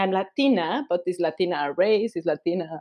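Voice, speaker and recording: With a Spanish accent, a woman speaks at a moderate pace. Her intonation is lively. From Mexico. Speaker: podcast host and writer. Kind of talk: casual chat.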